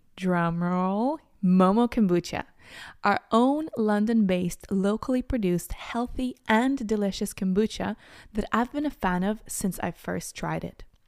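With a normal speaking voice, a woman talks at a fairly slow pace, her medium pitch carried by lively intonation, on a very clean recording with a silent background. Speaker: podcast host. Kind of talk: interview conversation.

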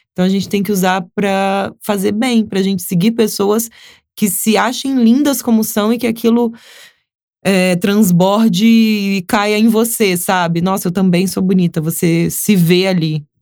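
At a fairly slow pace, a woman speaks at medium pitch with fairly even intonation. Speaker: influencer and model. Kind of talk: casual interview.

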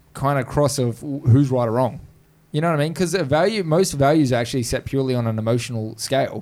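With an Australian accent, a man speaks at a fairly quick pace in a fairly high pitch, his intonation lively. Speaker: podcast host. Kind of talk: casual chat. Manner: jokey, laughs a lot.

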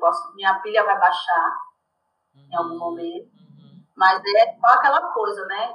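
A woman is speaking. Her pace is fairly slow. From Salvador, Bahia, Brazil. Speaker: communications professional and activist. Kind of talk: casual interview chat. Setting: video call.

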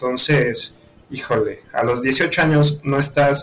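With a Mexican accent, a man at medium pitch speaks at a very slow pace against noticeable background noise. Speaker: university student. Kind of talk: casual chat.

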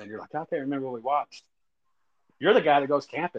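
A man with a Texan accent, at a fairly high pitch and a very fast pace, in a dry, close sound with no echo. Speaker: podcast host. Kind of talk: casual chat.

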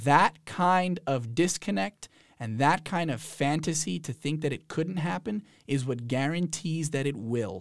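Speaking fairly slowly with lively intonation, a man with an American accent has a normal speaking voice pitched fairly high. The recording is very clean, with a silent background. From New Jersey. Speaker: university program administrator. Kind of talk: casual interview. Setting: studio.

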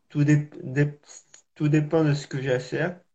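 A somewhat breathy voice at a very slow pace, with fairly even intonation. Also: man. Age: 20s. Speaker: para-athlete. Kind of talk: interview testimony. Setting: live video call. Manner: halting, repetitive.

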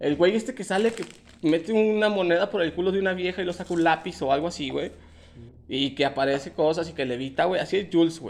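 Words pour out of a man at a very fast pace. The high pitch shows ordinary variation. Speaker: podcast host. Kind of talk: casual chat.

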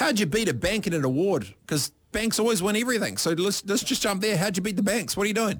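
Talking very fast with hardly any pauses, a man with a New Zealand accent uses a high voice and an animated tone, his pitch varying in an ordinary way and his loudness very even. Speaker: radio host. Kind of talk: casual radio talk show. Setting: radio studio.

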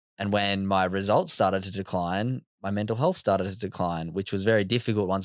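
Speaking in an Australian accent, a man has a fairly low pitch. His pace is fairly quick. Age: 20s. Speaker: mental health speaker. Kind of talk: casual chat. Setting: studio.

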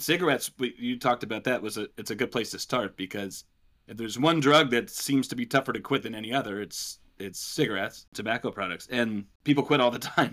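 A man with a medium pitch and a bright, sharp tone speaks at a fairly quick pace, his loudness swinging widely. The recording is very clean, with a silent background. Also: ordinary pitch variation. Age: 30s. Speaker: school counselor. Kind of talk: casual interview conversation. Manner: halting.

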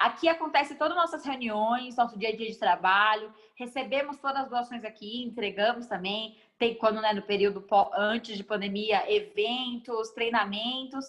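Here is an ordinary speaking voice from a woman, delivered at a moderate pace. She pitches fairly high and varies it in an ordinary way. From Guarulhos, São Paulo, Brazil. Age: 20s. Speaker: NGO founder and speaker. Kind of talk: casual interview.

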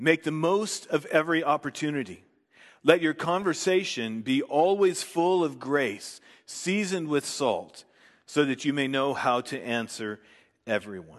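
Over a quiet background, a man with an unremarkable speaking voice talks at a fairly slow pace, his fairly high pitch carrying lively intonation. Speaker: preacher. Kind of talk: sermon; fervent prayer. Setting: church. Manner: formal; earnest.

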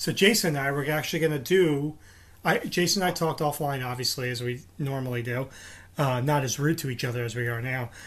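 A man talks at a very fast pace. His pitch is fairly high, with ordinary variation. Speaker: podcast host. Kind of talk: casual chat. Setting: remote recording. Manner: jokey, laughing.

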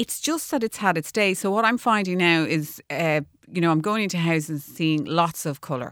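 In an Irish accent, a woman speaks at a fairly quick pace with a fairly low pitch and ordinary pitch variation. The recording is very clean, with a silent background. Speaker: architect and designer. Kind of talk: radio interview. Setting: studio.

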